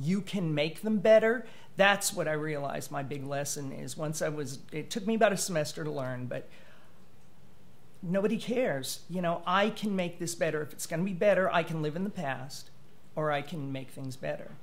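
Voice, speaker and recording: There is audible room echo as a man speaks in a high pitch. He keeps a moderate pace with ordinary pitch variation. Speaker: writer sharing personal story. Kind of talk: interview testimony. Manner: halting, many fillers.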